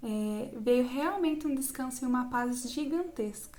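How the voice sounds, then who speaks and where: A woman's high voice with a Brazilian accent, at a fairly slow pace. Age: 20s. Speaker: psychology student. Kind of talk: personal testimony talk to camera.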